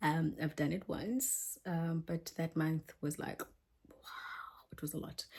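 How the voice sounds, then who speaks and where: Somewhat breathy and fairly low, a woman's voice moves at a very slow pace with ordinary pitch variation. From South Africa, Eastern Cape born. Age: 30s. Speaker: English teacher vlogger. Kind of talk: casual vlog chat. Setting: small apartment.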